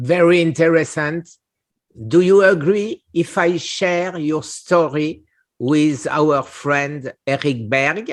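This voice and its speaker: A man with a French accent and a fairly high pitch, speaking at a very slow pace with ordinary pitch variation against a quiet background. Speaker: cancer survivor, channel host. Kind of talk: casual interview conversation. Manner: halting.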